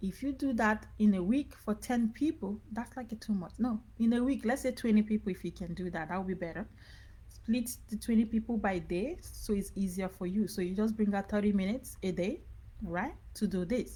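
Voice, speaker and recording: A woman speaks in a dark, mellow tone with vocal fry. Her pitch varies in an ordinary way. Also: medium pitch for a woman, moderate pace. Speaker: business coach. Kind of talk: live online training. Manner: casual, repetitive.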